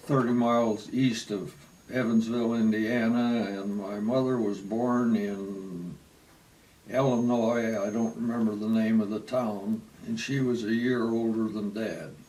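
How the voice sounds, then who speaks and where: Very slowly and with fairly even intonation, a man with an American accent speaks at a medium pitch amid audible room echo. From Michigan, US Midwest (Wayne, near Detroit). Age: 80s+. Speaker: retiree telling his life story. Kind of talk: oral history interview. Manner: halting, with many fillers.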